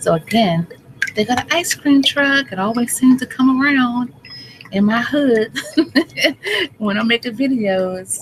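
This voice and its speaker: A woman speaks slowly in a fairly high voice. Noticeable background noise can be heard. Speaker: health vlogger. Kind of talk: casual vlog talk.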